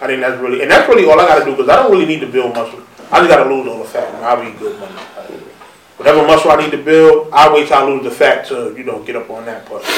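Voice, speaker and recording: A voice with a New York accent talks at a very fast pace, with big swings in loudness. Noticeable background noise is present. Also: man. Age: 30s. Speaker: podcast host. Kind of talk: casual chat.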